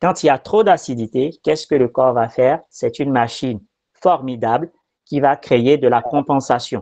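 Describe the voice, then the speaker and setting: Over a quiet background, a man talks at a moderate pace in a medium pitch with ordinary pitch variation. His tone is dark and mellow, and the sound is dry and close with no echo. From Benin and France. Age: 40s. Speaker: quantum therapy practitioner. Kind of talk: explanatory talk. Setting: video recording.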